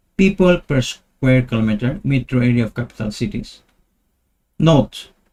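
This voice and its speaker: The voice is somewhat breathy, moving at a moderate pace with lively intonation. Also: man. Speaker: talk show host. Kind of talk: explanatory monologue with charts. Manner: repetitive, emphatic.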